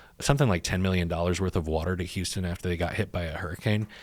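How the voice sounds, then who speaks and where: Very fast man's voice with an American accent, very deep and low in pitch, with fairly even intonation, on a very clean recording with a silent background. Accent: can switch a Texan accent on and off. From Texas. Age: 30s. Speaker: startup founder and CEO. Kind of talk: podcast interview. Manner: casual, many fillers.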